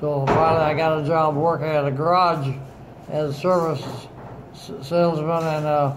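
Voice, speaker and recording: A man speaks fairly slowly in a fairly high pitch with monotone, flat intonation. Noticeable background noise sits behind him. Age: 80s+. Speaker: Navy veteran, retired government mapmaker. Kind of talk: casual reminiscing with family. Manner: slow, hesitant.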